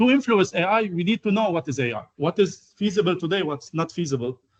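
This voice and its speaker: An Arabic accent marks this man's high-pitched voice. His intonation is lively. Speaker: AI researcher, guest lecturer. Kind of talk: lecture. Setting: university lecture hall. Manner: halting, many fillers.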